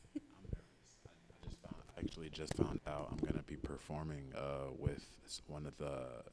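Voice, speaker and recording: The speaker whispers. The pace is moderate. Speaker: singer. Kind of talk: interview.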